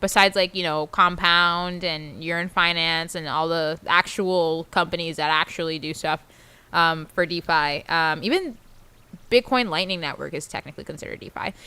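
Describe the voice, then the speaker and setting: Loud and at a fairly low pitch, a woman speaks at a moderate pace with a bright, sharp tone on a very clean recording with a silent background. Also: fairly even intonation. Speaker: crypto livestream co-host. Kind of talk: casual chat.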